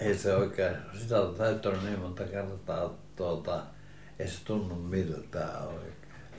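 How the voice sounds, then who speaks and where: At a very slow pace, a man with a fairly low pitch talks in a monotone, somewhat breathy voice, with audible room echo around him. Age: 80s+. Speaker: retired printer, grandfather. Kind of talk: casual reminiscing conversation. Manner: halting.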